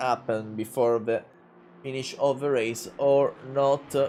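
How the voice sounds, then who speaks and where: A man speaks at a very slow pace with a strong Italian accent. His intonation stays fairly even. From Italy. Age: 20s. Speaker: sim racing commentator. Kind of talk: live commentary. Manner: halting, many filler sounds.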